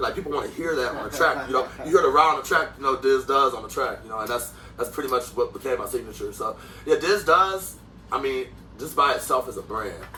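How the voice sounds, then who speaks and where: A man at a fairly quick pace, big swings in loudness, music in the background. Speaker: rapper. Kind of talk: interview. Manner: animated.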